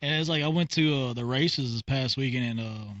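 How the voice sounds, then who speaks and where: A man speaks with a Texan accent at a medium pitch. His pitch moves up and down an ordinary amount. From Texas. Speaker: podcast host. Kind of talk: casual chat.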